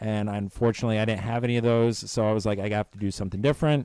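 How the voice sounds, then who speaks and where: A man's dark, mellow, medium-pitched voice with an American accent, in a very clean recording with a silent background. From Florida, US. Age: 30s. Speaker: guest, university employee. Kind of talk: casual chat. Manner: hesitant, filler-heavy.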